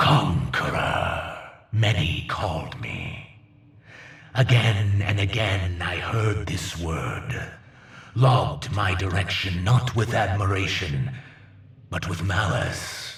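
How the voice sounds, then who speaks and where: With a slight echo, a man uses a put-on character voice at a fairly low pitch and a very slow pace. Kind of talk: villain monologue. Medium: game stream. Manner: grandiose, imperious, slow.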